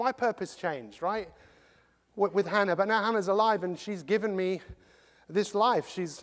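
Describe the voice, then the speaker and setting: With an English accent, a man talks at a moderate pace in a high, animated voice with ordinary pitch variation and long, frequent pauses, recorded very cleanly over a silent background. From England. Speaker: motivational speaker. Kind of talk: motivational talk.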